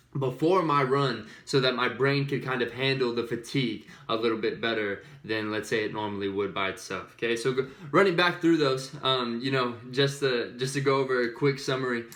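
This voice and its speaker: A medium-pitched man speaks at a fairly quick pace with ordinary pitch variation. Audible room echo is present. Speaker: fitness vlogger. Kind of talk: casual tutorial. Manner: fast.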